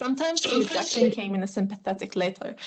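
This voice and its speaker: A woman with an Arabic accent speaks with ordinary pitch variation. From Syria. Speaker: refugee student. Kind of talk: panel testimony.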